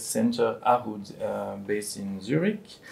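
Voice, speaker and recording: Speaking with a French accent, a man uses ordinary pitch variation. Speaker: addiction policy professional, moderator. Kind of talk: panel discussion. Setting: recorded video discussion. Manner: hesitant, many fillers; carefully articulated.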